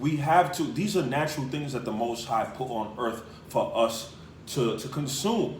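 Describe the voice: A man talks at a medium pitch and a moderate pace. His pitch variation is ordinary, and audible room echo surrounds the voice.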